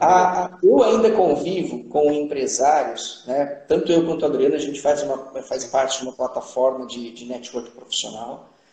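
Over noticeable background noise, a man with a fairly high pitch and ordinary pitch variation talks at a moderate pace with big swings in loudness and hardly any pauses. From Brazil, Ribeirão Preto (São Paulo state). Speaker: leadership specialist, engineer. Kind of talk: live-stream interview. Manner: halting, many fillers.

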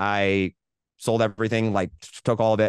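The man has a fairly low pitch and an American accent. His voice sounds dry and close with no echo against a quiet background. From US Midwest, rural Indiana. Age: 20s. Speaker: entrepreneur. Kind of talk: casual interview. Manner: animated.

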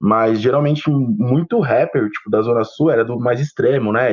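Speaking at a moderate pace, a man uses a plain, everyday voice at medium pitch with ordinary pitch variation. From São Paulo, Brazil. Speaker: photographer, co-host. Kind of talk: casual chat.

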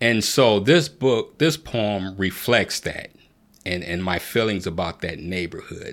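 A man with an ordinary speaking voice, fairly low-pitched, at a fairly slow pace with lively intonation. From Canton, Ohio, US Midwest. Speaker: poet and author. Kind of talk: interview.

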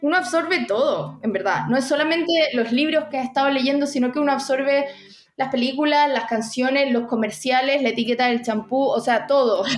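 A woman with a Chilean accent speaks in a high pitch, with ordinary pitch variation and very even loudness. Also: fairly quick pace. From Chile, Santiago. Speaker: author and university teacher. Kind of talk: interview about writing craft. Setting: podcast recording.

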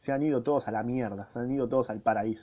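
Very fast talk from a man at medium pitch, with ordinary pitch variation and a Rioplatense accent. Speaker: podcaster reading a book. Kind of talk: reading aloud with casual commentary. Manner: casual.

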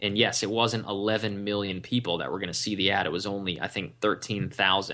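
Speaking fairly quickly with hardly any pauses, a man with an American accent uses a bright, sharp tone at a fairly low pitch, in a monotone, flat intonation. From Washington DC area, US East Coast. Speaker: online marketing entrepreneur. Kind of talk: interview.

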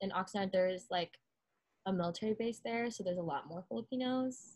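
A woman with an American accent, medium-pitched and somewhat breathy, with ordinary pitch variation. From Southern California. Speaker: college student. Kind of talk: casual chat.

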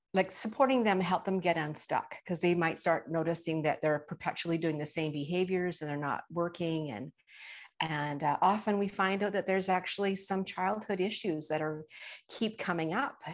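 At a moderate pace, a woman talks at a fairly low pitch with ordinary pitch variation. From Canada, British Columbia. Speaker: trauma recovery coach. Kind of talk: interview.

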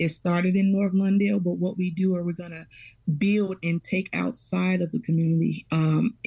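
A woman speaks with a fairly low pitch and a dark, mellow tone. Her voice is somewhat breathy, with fairly even intonation. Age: 30s. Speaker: parish parent coordinator. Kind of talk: radio interview.

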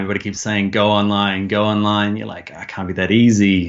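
With a New Zealand accent, a man speaks at a very fast pace. His pitch is fairly low. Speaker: online course creator and design instructor. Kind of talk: interview. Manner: halting.

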